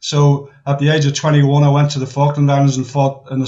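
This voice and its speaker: Somewhat breathy, a man talks at a fairly quick pace and a fairly high pitch. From Northern Ireland. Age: 60s. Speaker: war veteran. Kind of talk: casual chat. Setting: video call. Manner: halting.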